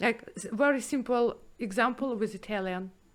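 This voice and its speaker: A woman speaks with a Russian accent. Her pitch varies in an ordinary way. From former Soviet Union. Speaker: 3D artist and podcast host. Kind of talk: casual chat. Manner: halting.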